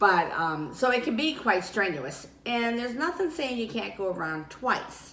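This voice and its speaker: At a moderate pace, a woman speaks with a fairly high pitch. There's audible room echo and noticeable background noise. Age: 60s. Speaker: weight loss vlogger. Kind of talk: casual vlog talk.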